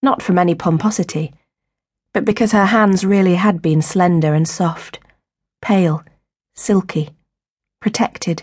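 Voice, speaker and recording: This speaker is somewhat breathy, with ordinary pitch variation and very even loudness. The pace is moderate, broken by long, frequent pauses. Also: woman, medium pitch for a woman. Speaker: audiobook narrator. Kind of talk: audiobook narration, abridged fiction reading; dramatic narration. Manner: dramatic, expressive, shifting between tender and sharp; measured, storytelling pace.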